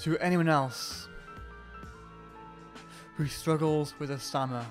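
A man's fairly high voice, very slow and fairly even in intonation, over music in the background. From Wales, Newport. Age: 20s. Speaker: music student. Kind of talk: personal testimony to camera.

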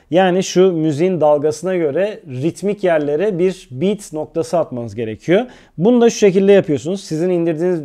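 A man with high pitch, a dark, mellow tone, a fairly quick pace and hardly any pauses. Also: quiet background. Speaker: video editing tutorial youtuber. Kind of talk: tutorial.

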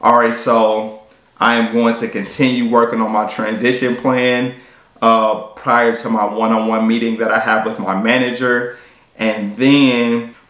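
With audible room echo, a man talks at a moderate pace and medium pitch in a monotone, flat intonation. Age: 30s. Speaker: fitness YouTuber and personal trainer; fitness YouTuber, personal trainer. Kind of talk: vlog monologue. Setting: at a work desk. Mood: reflective, earnest. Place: home room.

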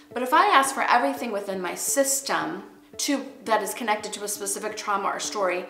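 A woman talks at a fairly quick pace. Light background noise and audible room echo surround her voice. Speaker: art teacher. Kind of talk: inspirational teaching talk. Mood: earnest, spiritual, expressive.

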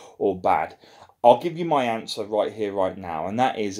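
The background is quiet as a man talks with ordinary pitch variation. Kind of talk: casual vlog chat. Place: home room. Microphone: phone near.

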